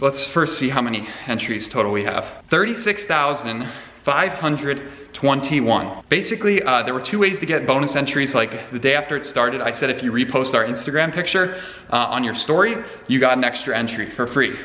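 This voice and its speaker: A man speaks at a fairly quick pace with a fairly high pitch. Noticeable background noise and audible room echo are present. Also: lively intonation. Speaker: car youtuber. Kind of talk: casual chat to camera. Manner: fast; animated.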